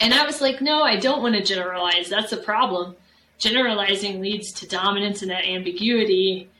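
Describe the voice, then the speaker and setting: A woman with a medium pitch and ordinary pitch variation talks fairly quickly while noticeable noise sounds in the background. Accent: American. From Texas, San Antonio. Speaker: professor. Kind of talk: interview.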